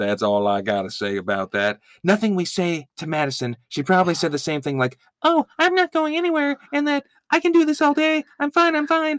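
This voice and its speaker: Fairly quick male speech, dry and close with no echo. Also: very clean recording, silent background. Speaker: podcast host. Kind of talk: casual banter recap.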